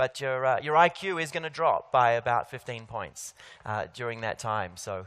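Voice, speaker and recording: In an Australian accent, a man with a medium pitch and a bright, sharp tone talks at a moderate pace with lively intonation. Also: very clean recording, silent background. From Australia, Sydney. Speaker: keynote speaker. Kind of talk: conference keynote. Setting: stage with audience. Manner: hesitant, many fillers.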